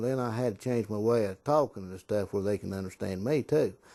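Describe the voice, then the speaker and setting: Over a quiet background, a man with an Appalachian accent speaks very fast at a medium pitch in a dark, mellow tone. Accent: Appalachian mountain English. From southern Appalachian mountains. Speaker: Marine veteran. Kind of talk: interview testimony. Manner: folksy storytelling.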